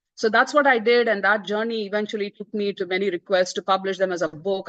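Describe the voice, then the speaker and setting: With a Tamil accent, a woman talks at a very fast pace in a dry, close sound with no echo. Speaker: author. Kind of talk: book presentation talk. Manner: hesitant, many fillers.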